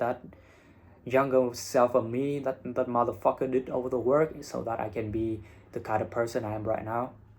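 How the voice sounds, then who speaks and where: Here a man speaks with a Vietnamese accent at a medium pitch. His pace is moderate and his intonation fairly even. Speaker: English teacher and IELTS content creator. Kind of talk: casual vlog monologue.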